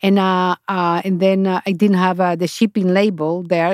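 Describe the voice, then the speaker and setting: A woman with a Spanish accent speaks at a medium pitch, dry and close with no echo, in a very clean recording with a silent background. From Honduras. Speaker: chocolate company founder. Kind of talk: interview. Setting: studio. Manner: halting.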